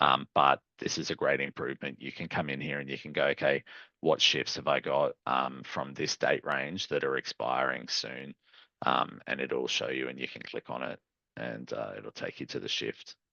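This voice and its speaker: Moving at a moderate pace, a man talks with an Australian accent. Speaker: software company customer success manager presenting a webinar. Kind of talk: live product webinar demo. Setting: online webinar with screen share.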